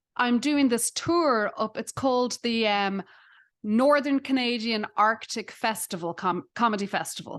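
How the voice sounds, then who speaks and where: A woman with an Irish accent talks at a fairly slow pace, her pitch fairly high with ordinary variation. The sound is dry and close with no echo, over a quiet background. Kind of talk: casual chat.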